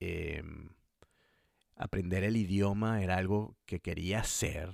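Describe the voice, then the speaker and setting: A man's very deep, low voice with a Venezuelan accent and ordinary pitch variation, dry and close with no echo, in a very clean recording with a silent background. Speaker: podcast host. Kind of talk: podcast monologue.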